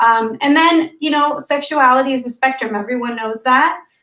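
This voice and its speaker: A woman speaks at a moderate pace with fairly even intonation. Her voice is high-pitched, with a bright, sharp tone. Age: 30s. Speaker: app co-founder, interviewee. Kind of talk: casual interview.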